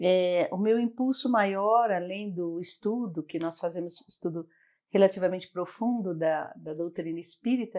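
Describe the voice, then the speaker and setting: On a very clean recording with a silent background, a woman talks at a fairly slow pace, her medium pitch dark and mellow in tone with ordinary variation. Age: 60s. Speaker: psychologist and NGO founder. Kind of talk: interview.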